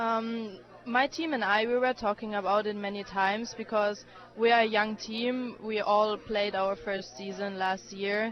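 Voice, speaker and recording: Speaking at a fairly slow pace, a woman with a German accent has a fairly high pitch and fairly even intonation. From Germany. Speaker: college tennis player. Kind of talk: radio interview. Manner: hesitant, many fillers.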